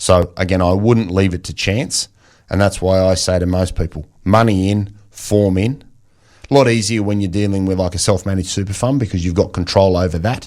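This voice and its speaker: Man with a very deep, low pitch and an Australian accent, fairly quick pace and fairly even intonation, on a very clean recording with a silent background. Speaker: financial planner. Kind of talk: radio interview. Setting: radio studio.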